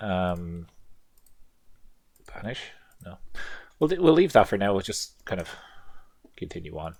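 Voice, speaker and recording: Speaking at a fairly slow pace, a man with a very deep, low voice uses lively intonation, big swings in loudness, and long, frequent pauses. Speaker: gaming video creator. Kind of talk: let's play commentary. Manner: casual, thinking aloud.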